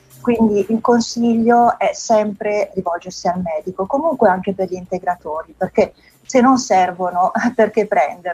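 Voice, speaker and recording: A woman at a medium pitch and fairly slow pace, with ordinary pitch variation and noticeable background noise. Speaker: magazine editor. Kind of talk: interview.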